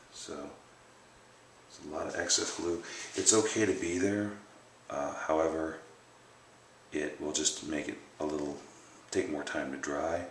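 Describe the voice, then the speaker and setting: A soft-spoken man talks over noticeable background noise with audible room echo. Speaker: bowyer. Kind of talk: tutorial. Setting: home workshop at night.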